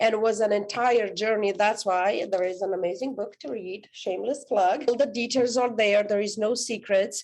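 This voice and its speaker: With a Romanian accent, a woman speaks at a fairly high pitch and a moderate pace, with ordinary pitch variation and hardly any pauses. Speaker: author and life coach. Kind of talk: podcast interview.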